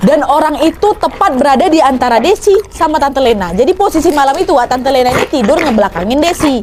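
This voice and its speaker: Very fast and animated, a woman speaks at a high pitch with very wide pitch swings, hardly any pauses and very even loudness, over noticeable background noise. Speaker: horror storyteller. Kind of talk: horror story narration to audience. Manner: chatty, animated, conversational.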